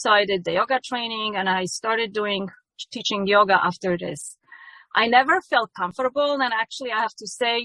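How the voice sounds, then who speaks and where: A woman with a Polish accent speaks at a fairly high pitch. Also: ordinary pitch variation, moderate pace. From Poland. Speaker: yoga teacher. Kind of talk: testimony. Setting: ministry event. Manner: halting.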